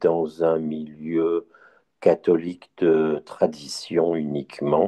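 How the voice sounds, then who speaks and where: A man talks at a very slow pace. His pitch is very deep and low. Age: 60s. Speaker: blind Bible listener, retiree. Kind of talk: testimony.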